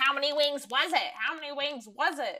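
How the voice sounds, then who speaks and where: This is a put-on character voice. The pitch is high. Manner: angry, repetitive.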